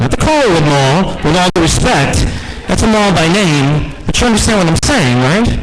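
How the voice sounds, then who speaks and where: Over noticeable background noise and audible room echo, a man with an American accent speaks at a high pitch with lively intonation. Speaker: radio host. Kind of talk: impromptu speech. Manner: loud.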